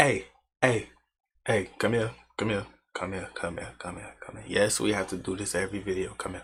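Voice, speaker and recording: A fairly low-pitched man at a moderate pace, with ordinary pitch variation, big swings in loudness and long, frequent pauses. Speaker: YouTube reaction host. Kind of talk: casual video intro. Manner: whispering, quiet.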